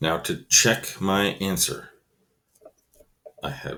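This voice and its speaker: Very slow speech from a man with a very deep, low voice and vocal fry. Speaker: elementary school teacher. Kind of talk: tutorial.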